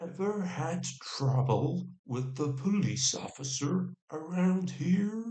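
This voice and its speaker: Gravelly and at middle pitch, a put-on character voice goes at a very slow pace with hardly any pauses. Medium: read story.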